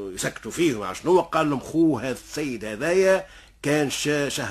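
In an animated tone, a man speaks fairly slowly with vocal fry. His pitch swings very widely. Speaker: storyteller. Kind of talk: oral folk storytelling. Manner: animated, acts out dialogue.

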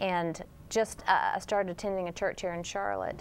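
A woman at medium pitch talks at a moderate pace in a plain, everyday voice. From Texas. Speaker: TV network executive. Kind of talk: religious TV interview.

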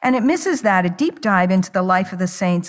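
A woman talks against a quiet background. Her voice comes across somewhat breathy. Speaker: preacher. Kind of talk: sermon. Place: church. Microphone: podium.

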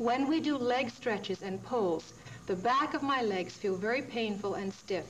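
Over noticeable background noise, a woman talks with lively intonation. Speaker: yoga show host. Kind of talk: tutorial. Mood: warm, encouraging. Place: studio.

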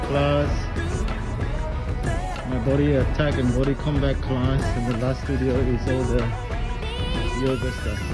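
A man at a fairly slow pace over loud music in the background. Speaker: gym member vlogger. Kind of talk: casual vlog chat. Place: gym. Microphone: phone near.

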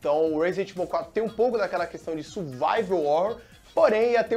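A man speaks at a fairly quick pace with a high pitch and ordinary pitch variation. Faint music plays in the background. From Brazil. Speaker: TV presenter. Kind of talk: casual talk to camera. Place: studio. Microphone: lapel.

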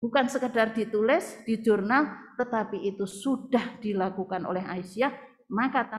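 A woman at a moderate pace with ordinary pitch variation, over light background noise. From Indonesia. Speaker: women's organization leader; speaker. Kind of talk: opening speech. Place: hall. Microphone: podium.

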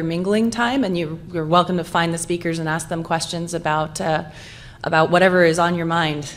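This woman's voice sits fairly low and moves along at a fairly quick pace. Her intonation stays fairly even. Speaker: session moderator. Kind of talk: conference session introductions. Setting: stage with audience. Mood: friendly, light humour. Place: hall.

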